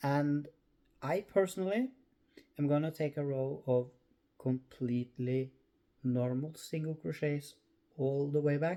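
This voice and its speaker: Speaking fairly slowly with long, frequent pauses, a man with a Norwegian accent uses a fairly high pitch, ordinary pitch variation and a dark, mellow tone. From Norway. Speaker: crochet crafter. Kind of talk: tutorial. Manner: halting.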